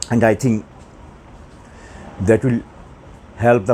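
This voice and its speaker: Light background noise sits behind the speech. The speaker has a Bengali accent. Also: man. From Bangladesh or West Bengal. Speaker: math teacher. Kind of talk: lecture. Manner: slow. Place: classroom. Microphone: lapel.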